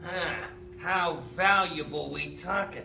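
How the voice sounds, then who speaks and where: In a put-on character voice, someone speaks at a fairly slow pace over clear background noise. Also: man. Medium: stage play.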